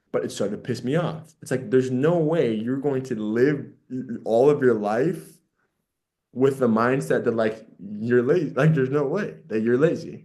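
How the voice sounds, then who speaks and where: A dark, mellow tone carries ordinary pitch variation at a moderate pace. Room echo can be heard. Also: man, medium pitch for a man. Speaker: podcast co-host. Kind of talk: casual chat. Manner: halting, repetitive false starts.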